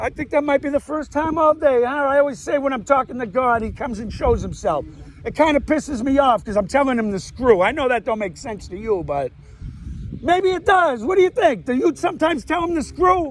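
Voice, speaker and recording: A loud man talks at a fairly quick pace with an extremely high pitch and lively intonation. Noticeable background noise is audible behind him. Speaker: vlogger, amateur comedian. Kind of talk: casual monologue to camera. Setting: outdoors, walking. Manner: rambling, animated.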